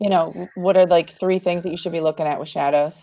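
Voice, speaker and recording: A woman talks at a fairly quick pace with a medium pitch. She has a plain, everyday voice. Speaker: marketing host. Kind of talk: casual chat. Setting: live video call.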